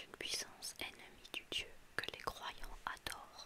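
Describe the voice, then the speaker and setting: A woman is whispering at a very slow pace. Noticeable background noise sits behind her. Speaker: ASMR reader. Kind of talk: whispered ASMR book reading. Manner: whispered; soft-spoken.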